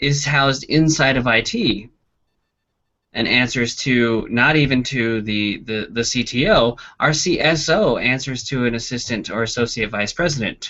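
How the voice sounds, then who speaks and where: Ordinary pitch variation from a man at a medium pitch. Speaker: university instructor. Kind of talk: lecture. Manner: fast.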